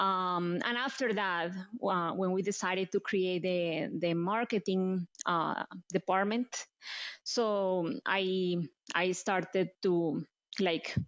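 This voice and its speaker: Speaking very slowly in a Colombian accent, a woman keeps a medium pitch, fairly even intonation and very even loudness. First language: Spanish. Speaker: marketing executive. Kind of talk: interview.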